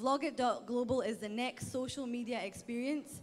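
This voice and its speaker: Speaking at a moderate pace, a woman with a Scottish accent has a high pitch. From Scotland. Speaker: startup pitch presenter. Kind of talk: pitch presentation.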